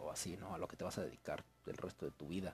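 A man with a Mexican accent at a fairly quick pace. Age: 20s. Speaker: university student podcaster. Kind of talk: casual monologue. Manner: rambling, halting.

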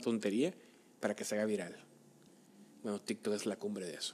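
A man talks at a fairly quick pace. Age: 30s. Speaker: podcast co-host. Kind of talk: casual chat.

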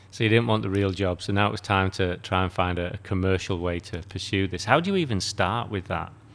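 A man with a British accent speaks at a very deep, low pitch and fairly even intonation. His pace is fairly quick, with hardly any pauses. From UK. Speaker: podcast host. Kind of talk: interview.

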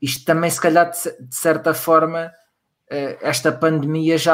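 A man with fairly high pitch speaks fairly slowly in a monotone, flat intonation. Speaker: podcast co-host. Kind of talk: casual chat.

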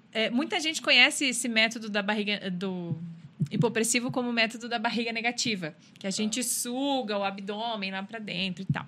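A woman's fairly high voice, a normal speaking voice, with ordinary pitch variation at a fairly quick pace. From Rio Grande do Sul, Brazil. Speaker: personal trainer. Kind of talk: casual interview chat.

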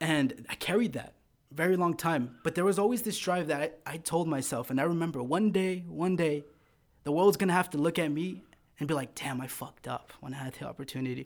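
An American accent comes through in an ordinary speaking voice, with ordinary pitch variation and a fairly quick pace. The recording is very clean, with a silent background. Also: man, fairly high pitch for a man. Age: 20s. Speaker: loan officer. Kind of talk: casual chat.

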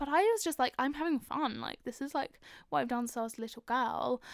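A high-pitched woman with a London accent speaks with lively intonation. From North London. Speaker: podcast host. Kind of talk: casual personal monologue.

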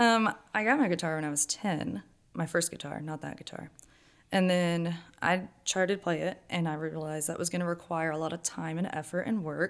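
A woman's fairly low voice with ordinary pitch variation, a plain, everyday voice on a very clean recording with a silent background. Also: moderate pace. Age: 20s. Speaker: stay-at-home mother and church volunteer. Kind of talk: casual interview testimony.

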